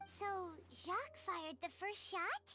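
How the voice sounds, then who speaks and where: A squeaky, put-on character voice sits at an extremely high pitch. It moves at a moderate pace. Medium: video game. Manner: inquisitive.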